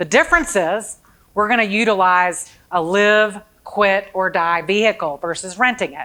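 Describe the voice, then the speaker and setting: A woman talks at a medium pitch in a bright, sharp tone, with ordinary pitch variation. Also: moderate pace. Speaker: long-term care planning presenter. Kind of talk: seminar presentation.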